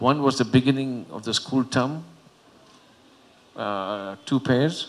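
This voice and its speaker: A man speaks fairly slowly, his pitch varying in an ordinary way. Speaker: panelist. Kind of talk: personal story at panel forum. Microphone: handheld.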